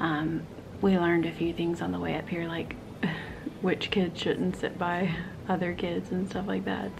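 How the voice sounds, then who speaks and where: At a fairly slow pace, a woman talks through noticeable background noise. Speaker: family vlogger. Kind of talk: casual vlog chat. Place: home room. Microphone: phone near.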